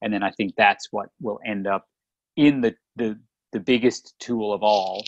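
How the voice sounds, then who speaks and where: A man with an Australian accent, fairly low in pitch, at a fairly slow pace and fairly even intonation, in a dry, close sound with no echo. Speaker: podcast co-host, chiropractor. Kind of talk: casual chat.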